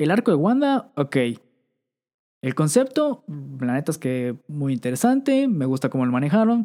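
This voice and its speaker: This man speaks with a Mexican accent, a fairly high pitch, a dark, mellow tone and very wide pitch swings. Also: fairly slow pace. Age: 20s. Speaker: podcast host. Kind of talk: casual chat. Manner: animated.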